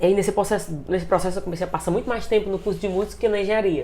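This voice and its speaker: A woman speaks with vocal fry. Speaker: singer and choir conductor. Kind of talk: interview. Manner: casual, hesitant.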